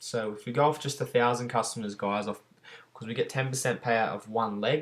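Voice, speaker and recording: A man with an unremarkable speaking voice talks at a medium pitch and a fairly quick pace. His intonation is fairly even, with big swings in loudness. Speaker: network marketing recruiter. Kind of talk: tutorial.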